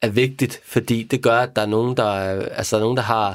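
This recording is very clean, with a silent background. A man talks at a fairly quick pace and medium pitch with fairly even intonation. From Denmark. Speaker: crime novelist. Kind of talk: casual chat. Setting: studio. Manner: halting.

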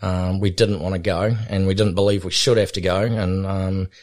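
A man speaks at a moderate pace with a very deep, low pitch and monotone, flat intonation on a very clean recording with a silent background. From New Zealand. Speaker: helicopter pilot and cattleman. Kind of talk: casual interview. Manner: relaxed, with frequent fillers and hesitations.

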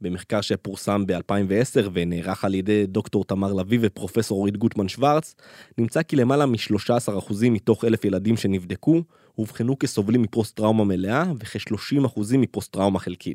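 On a very clean recording with a silent background and a dry, close sound with no echo, a man speaks at a moderate pace in a fairly low pitch, his dark, mellow tone showing ordinary pitch variation. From Israel, Gaza border kibbutz. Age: 30s. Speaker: podcast host and reporter. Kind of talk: scripted narration.

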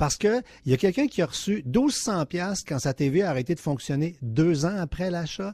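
A man talks in an animated tone with a somewhat breathy voice, the sound dry and close with no echo against a quiet background. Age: 50s. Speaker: consumer tech columnist. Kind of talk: radio chronicle.

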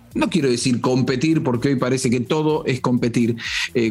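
Noticeable background noise sits behind the speech. A man talks at medium pitch and a fairly quick pace. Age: 40s. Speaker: football pundit. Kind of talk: solo football commentary podcast.

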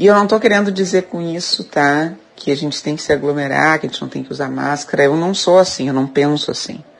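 A woman with a very deep, low voice and a Gaúcho Brazilian accent speaks at a very fast pace with hardly any pauses and ordinary pitch variation, over noticeable background noise. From Rio Grande do Sul, Brazil. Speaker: listener commenter. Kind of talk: recorded listener message.

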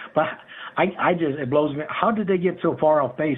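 A man at a moderate pace with an unremarkable speaking voice and ordinary pitch variation. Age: 50s. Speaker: caller. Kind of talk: call-in question.

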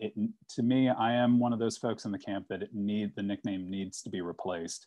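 A man with an American accent and a plain, everyday voice speaks at a moderate pace with ordinary pitch variation. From Virginia, Richmond. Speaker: graphic designer. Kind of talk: podcast interview.

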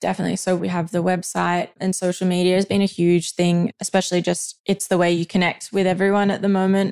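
Medium in pitch, a woman talks at a fairly quick pace with monotone, flat intonation. The sound is dry and close, with no echo. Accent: Australian. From central west New South Wales, Australia. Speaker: fashion label founder from a farming family. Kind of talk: interview. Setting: family farm.

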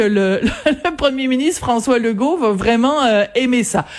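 The intonation is lively and the loudness stays very even. Noticeable background noise runs underneath. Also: woman. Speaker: radio columnist. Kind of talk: radio commentary. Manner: animated.

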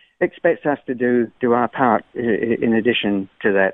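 With an Australian accent, a man speaks at a medium pitch with ordinary pitch variation. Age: 60s. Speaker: caller. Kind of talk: call-in comment. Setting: phone call.

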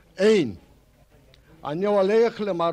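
Pitched high, a man speaks at a very slow pace. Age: old. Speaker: painter. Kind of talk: storytelling.

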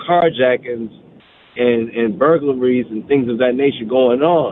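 At a fairly slow pace, a man with an American accent talks in a medium pitch with ordinary pitch variation. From Washington DC. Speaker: Army veteran caller. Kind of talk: casual chat. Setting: phone call.

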